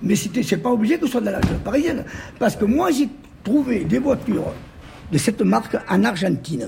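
Against noticeable background noise, a man with a high pitch and very wide pitch swings talks at a fairly quick pace, leaving long, frequent pauses. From Corsica. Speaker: horse-drawn carriage dealer, former supermarket owner. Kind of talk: casual interview.

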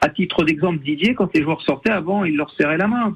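The man's voice is high in pitch. The sound is dry and close, with no echo. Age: 60s. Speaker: football coach, former pro player. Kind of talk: radio interview.

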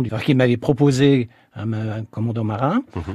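Against a quiet background, a man with a dark, mellow tone speaks at a fairly slow pace with fairly even intonation, the sound dry and close with no echo. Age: 70s. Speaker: retired engineer and naval reservist. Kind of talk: radio interview. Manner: hesitant.

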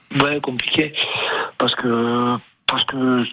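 A man's voice in fairly even intonation amid noticeable background noise. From Bayonne, French Basque Country. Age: 50s. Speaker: rugby coach. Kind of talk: radio interview. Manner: halting, many repetitions.

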